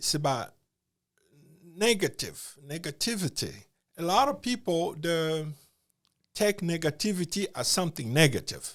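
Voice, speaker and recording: On a very clean recording with a silent background, a man speaks at a moderate pace in a high voice, his intonation lively and broken by long, frequent pauses. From Congo. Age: 60s. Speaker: podcast guest. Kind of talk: interview.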